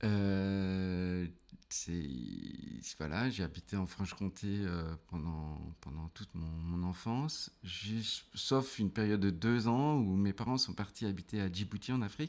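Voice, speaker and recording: This man's pitch is fairly low and varies in an ordinary way. He talks very slowly. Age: 40s. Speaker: theatre trainer and business owner. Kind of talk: casual interview. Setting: podcast recording. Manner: hesitant, many fillers.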